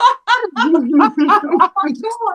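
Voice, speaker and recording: A woman speaks at a high pitch in a raised, projected voice. Her tone is bright and sharp. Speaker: podcast co-host. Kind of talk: casual chat. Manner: loud.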